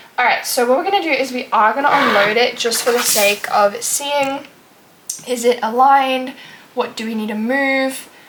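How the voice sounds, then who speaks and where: Noticeable background noise sits behind a woman talking at a moderate pace in a high pitch. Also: ordinary pitch variation. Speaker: crafting tutorial vlogger. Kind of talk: tutorial. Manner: hesitant, many fillers.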